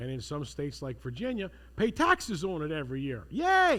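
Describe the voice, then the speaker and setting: The recording is very clean and the background is silent. A man is the one talking. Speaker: seminar instructor. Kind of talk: lecture. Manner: animated.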